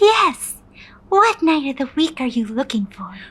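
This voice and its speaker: A woman's put-on character voice, high-pitched, with very wide pitch swings at a moderate pace. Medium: audio drama. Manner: polite, professional.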